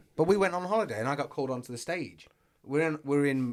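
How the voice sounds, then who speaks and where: Talking very fast with ordinary pitch variation, a man with an English accent is heard on a very clean recording with a silent background. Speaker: podcast co-host. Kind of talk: casual chat. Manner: loud.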